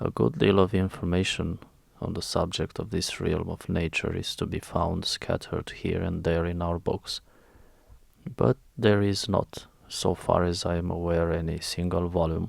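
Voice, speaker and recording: A man's soft-spoken, very deep, low voice with an Eastern European accent and ordinary pitch variation, on a very clean recording with a silent background. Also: moderate pace. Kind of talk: audiobook reading. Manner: soft-spoken, relaxing.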